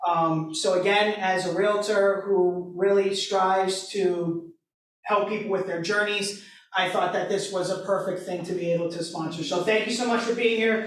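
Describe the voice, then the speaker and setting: A loud, high-pitched man's voice with flat, monotone intonation at a moderate pace, plus audible room echo. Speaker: realtor and board member. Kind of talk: sponsor remarks, unscripted. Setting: event hall with audience, no microphone. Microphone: no microphone.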